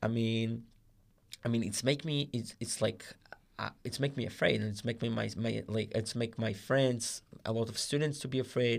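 A man with an Israeli accent speaks at a moderate pace and medium pitch, keeping his intonation fairly even. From Israel, Rehovot. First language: Hebrew. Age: 20s. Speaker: guest volunteer. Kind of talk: casual chat.

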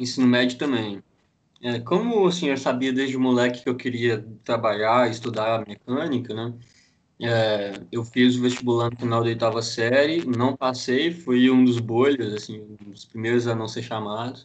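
In a normal speaking voice at a moderate pace, the speaker keeps a fairly even intonation while the loudness swings widely. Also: man, medium pitch for a man. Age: 20s. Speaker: mechanical engineer. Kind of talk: casual chat.

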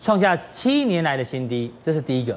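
A man with a Taiwanese accent and very wide pitch swings. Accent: Taiwanese Mandarin. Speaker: TV finance show host. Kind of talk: TV talk show hosting. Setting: TV studio.

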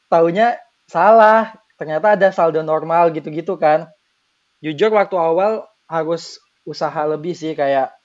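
A man speaks at a fairly slow pace with ordinary pitch variation. His voice is high-pitched. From Bengkulu, Indonesia. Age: 20s. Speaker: university student. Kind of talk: casual chat.

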